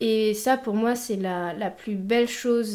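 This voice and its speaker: A woman speaks at a fairly slow pace. Her tone is dark and mellow, with fairly even intonation. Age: 20s. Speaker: image consultant. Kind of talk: casual chat.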